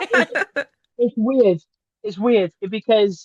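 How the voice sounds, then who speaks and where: With a Welsh accent, a man speaks in fairly even intonation. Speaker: professional wrestler. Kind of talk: casual chat.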